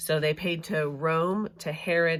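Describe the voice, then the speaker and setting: A woman's voice comes through on a very clean recording with a silent background. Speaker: Bible study teacher. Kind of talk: casual talk to camera, Bible study lesson. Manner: hesitant, many fillers and stutters; slow, long-winded.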